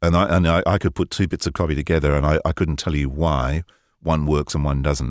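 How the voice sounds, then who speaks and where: Dry and close with no echo, a man speaks at a very deep, low pitch with vocal fry. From North London. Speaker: voice-over artist. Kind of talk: interview answer. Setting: remote connection from home studio.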